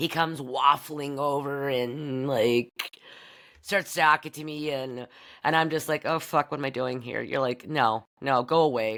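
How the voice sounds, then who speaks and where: In a very clean recording with a silent background, a woman with an American accent and a very deep, low pitch talks at a fairly slow pace. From US Midwest (Bedford, Iowa area). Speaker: podcast host. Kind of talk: casual monologue. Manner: loud; animated.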